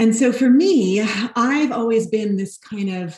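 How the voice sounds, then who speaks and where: A woman with an American accent, somewhat breathy, very slow, with lively intonation. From New York (Brooklyn). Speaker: nonprofit housing executive. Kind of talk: interview.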